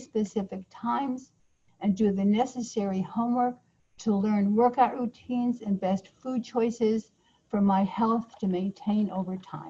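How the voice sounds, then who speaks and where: The voice is somewhat breathy and has a dark, mellow tone, with fairly even intonation at a moderate pace. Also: woman. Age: 70s. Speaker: change-model author and trainer. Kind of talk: online course teaching. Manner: conversational, informal.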